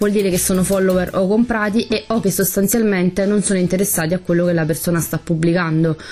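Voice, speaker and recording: A woman talks at a very fast pace with hardly any pauses, very even loudness and fairly even intonation, over noticeable background noise. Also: medium pitch for a woman. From Campania, Italy (Pomigliano d'Arco area). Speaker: beauty salon owner, podcast co-host. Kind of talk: casual chat.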